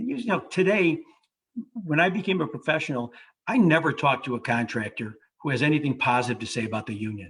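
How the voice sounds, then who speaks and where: A man with an American accent at a very fast pace, fairly high in pitch, with very wide pitch swings. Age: 60s. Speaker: lawyer. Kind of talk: panel discussion.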